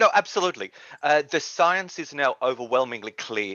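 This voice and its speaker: With an Australian accent, a man talks at a moderate pace using lively intonation. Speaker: policy advocate. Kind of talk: interview.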